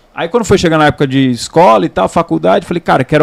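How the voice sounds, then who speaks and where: Very fast speech from a man, fairly high pitched for a man, with lively intonation and a dry, close sound free of echo. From Santos, São Paulo state, Brazil. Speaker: sports narrator, former field reporter. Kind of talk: casual chat.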